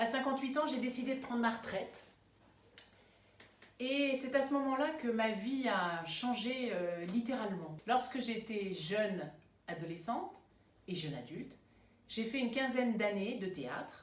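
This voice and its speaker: A woman's fairly high-pitched voice with lively intonation, a fairly slow pace, long, frequent pauses and audible room echo. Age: 60s. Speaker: retired teacher turned amateur actress. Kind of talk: self-introduction video. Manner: hesitant, with frequent fillers.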